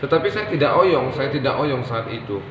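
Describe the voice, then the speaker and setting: A man speaks fairly quickly in a fairly high voice. Audible room echo and noticeable background noise accompany him. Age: 30s. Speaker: therapy center branch manager. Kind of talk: testimony.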